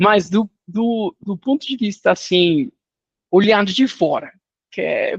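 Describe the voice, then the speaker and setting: A man with a non-native accent speaks at a very slow pace in a high voice. His pitch variation is ordinary, and the sound is dry and close with no echo. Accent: foreign accent in Portuguese. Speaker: finance industry executive. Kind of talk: interview. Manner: casual, animated.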